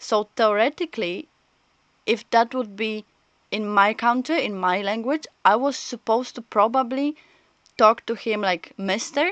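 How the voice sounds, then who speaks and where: A woman speaks at a fairly slow pace with a non-native accent and lively intonation, in a dry, close sound with no echo. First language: not English. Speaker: streamer. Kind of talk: casual chat.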